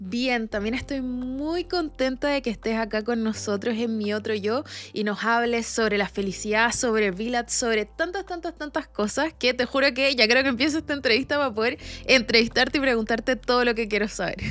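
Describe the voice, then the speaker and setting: The speaker talks in a Chilean accent with ordinary pitch variation. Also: woman, high pitch for a woman, moderate pace. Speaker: podcast host. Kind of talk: interview.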